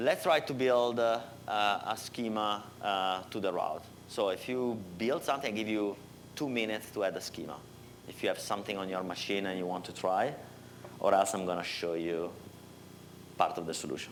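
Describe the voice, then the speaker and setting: A man with an Italian accent at a moderate pace, with long, frequent pauses. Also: fairly low pitch for a man, ordinary pitch variation. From Italy. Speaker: software developer. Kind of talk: technical workshop. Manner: halting, many fillers.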